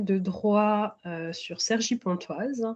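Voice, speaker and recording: Pitch variation here is ordinary. The speaker is a woman. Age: 30s. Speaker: tax specialist, interviewee in career counselling. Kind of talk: mock career counselling interview. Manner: halting, many hesitations.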